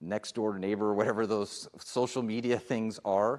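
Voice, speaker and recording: A man with an unremarkable speaking voice and a fairly low pitch talks at a fairly slow pace on a very clean recording with a silent background. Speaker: police chief. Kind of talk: public forum presentation. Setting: public meeting.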